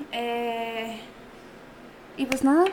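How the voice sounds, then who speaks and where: Ordinary pitch variation over noticeable background noise. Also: woman. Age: 20s. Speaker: entrepreneur. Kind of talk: casual chat. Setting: studio.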